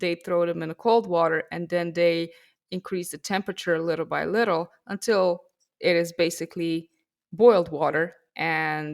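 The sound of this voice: A woman's fairly low voice with vocal fry, ordinary pitch variation and a moderate pace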